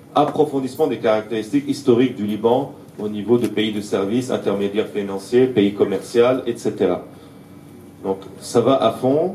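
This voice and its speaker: Room echo can be heard around this man's voice. His pitch moves in an ordinary way. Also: medium pitch for a man, moderate pace. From Syria, Aleppo (Armenian community). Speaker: political activist speaker. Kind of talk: lecture. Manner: halting, many hesitations.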